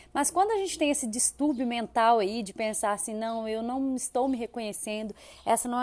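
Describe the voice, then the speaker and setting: In a quiet background, a woman with a fairly high pitch speaks at a moderate pace with ordinary pitch variation. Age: 30s. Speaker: podcast host. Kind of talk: solo podcast monologue. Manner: animated.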